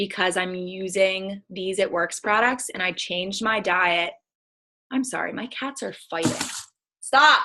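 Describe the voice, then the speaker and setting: A woman with an American accent speaks at a fairly slow pace in a medium pitch, her tone animated and bright and sharp, with ordinary pitch variation. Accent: picks up accents of people around her. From Pittsburgh, Pennsylvania. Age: 20s. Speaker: network marketing distributor. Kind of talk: casual live stream chat.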